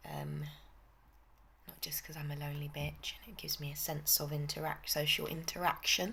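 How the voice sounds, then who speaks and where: A woman talks at a fairly quick pace with a British accent. Her loudness swings widely. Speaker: vlogger. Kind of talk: casual chat.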